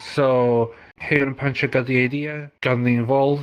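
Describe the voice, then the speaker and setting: With fairly even intonation, this man speaks at a medium pitch. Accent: Spanish. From Mexico. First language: Spanish. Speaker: language community organizer. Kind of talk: podcast interview. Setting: VR social platform.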